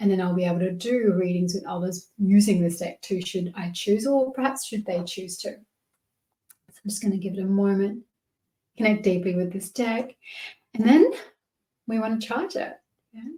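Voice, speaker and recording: Using an Australian accent, a woman speaks at a moderate pace and medium pitch in a dark, mellow, somewhat breathy tone, with ordinary pitch variation and long, frequent pauses. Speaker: tarot and oracle card reader. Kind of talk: tutorial. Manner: casual, warm.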